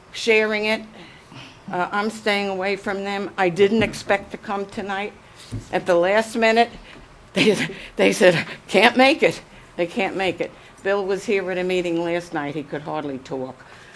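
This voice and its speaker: Pausing long and often, a woman with a New York accent speaks at a medium pitch. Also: ordinary pitch variation, moderate pace. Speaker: member of the public. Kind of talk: public comment. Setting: city council chambers.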